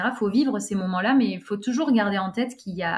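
A woman speaks fairly quickly in a fairly high, somewhat breathy voice with ordinary pitch variation. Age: 20s. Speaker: stadium announcer and master of ceremonies. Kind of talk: casual interview. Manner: halting, repeats words.

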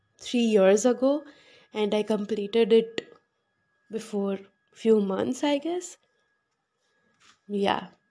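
A woman speaks at a very slow pace with long, frequent pauses and a dark, mellow tone. Her pitch is fairly high, with ordinary variation. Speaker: podcast host reciting own poetry. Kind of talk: casual chat. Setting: home balcony. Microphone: no microphone, built-in mic.

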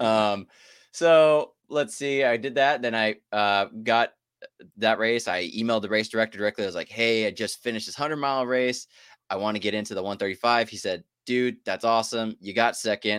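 In a normal speaking voice with an American accent, a man of medium pitch talks at a fairly quick pace with ordinary pitch variation and a dry, close sound with no echo. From US South, southeast Texas. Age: 20s. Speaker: active-duty military dietitian and ultrarunner. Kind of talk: casual chat.

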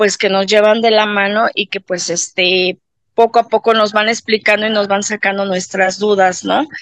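Her voice is fairly high for a woman, with monotone, flat intonation. The sound is dry and close with no echo. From Mexico City. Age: 50s. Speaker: patient. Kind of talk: testimony. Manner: halting, many fillers.

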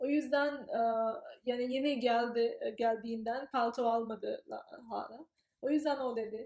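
A woman with a British accent speaks at a high pitch and a very slow pace. Her intonation stays monotone and flat. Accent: British English-accented Turkish. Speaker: graduate student. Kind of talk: interview. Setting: in person. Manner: halting, many fillers.

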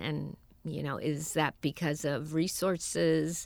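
A woman speaks in a very deep, low pitch with vocal fry and fairly even intonation. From US West Coast, San Francisco. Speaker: advertising creative director, agency co-founder. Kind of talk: interview.

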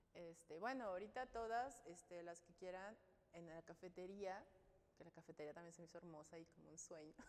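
Speaking at a fairly quick pace, a woman uses a fairly low pitch with ordinary pitch variation and big swings in loudness. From Mexico, Sinaloa. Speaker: UX designer. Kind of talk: interview.

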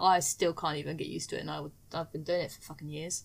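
A woman with a British accent speaks at a very fast pace in a fairly low voice, her intonation fairly even and her tone carrying vocal fry. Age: 20s. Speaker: podcast guest. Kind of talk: casual chat.

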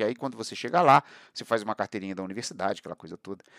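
Silent background and a very clean recording, the sound dry and close without any echo. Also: man. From Brazil, Barra Mansa / Volta Redonda area, Rio de Janeiro state. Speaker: podcast host and historian. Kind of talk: monologue, casual talk.

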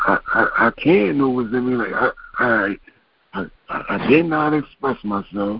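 Speaking at a fairly slow pace, a man uses lively intonation at a medium pitch. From Chester, Pennsylvania, US. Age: 40s. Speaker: comedian, gun violence survivor. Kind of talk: testimony. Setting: phone call.

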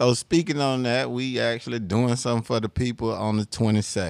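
The sound is dry and close, with no echo. A man speaks at medium pitch in an ordinary speaking voice and at a fairly quick pace. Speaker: podcast co-host. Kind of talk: casual chat.

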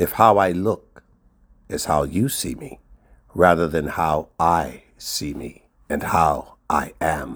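With vocal fry and a very deep pitch, a man speaks at a very slow pace while his loudness swings widely. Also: ordinary pitch variation. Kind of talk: poetry reading, spoken word. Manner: measured, earnest, rhythmic; reflective, sincere.

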